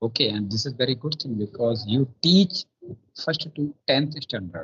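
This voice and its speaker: At a moderate pace, a man with a North Indian accent speaks at a medium pitch with lively intonation. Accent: Indian English, Hindi belt. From India, Bundelkhand, Madhya Pradesh. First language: Bundelkhandi. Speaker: police officer. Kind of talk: casual chat. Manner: halting.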